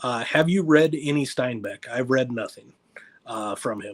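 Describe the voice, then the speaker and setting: The sound is dry and close, with no echo. A man speaks at a moderate pace in a fairly high pitch with ordinary pitch variation. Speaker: booktuber. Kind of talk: livestream chat. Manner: animated. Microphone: mic issues.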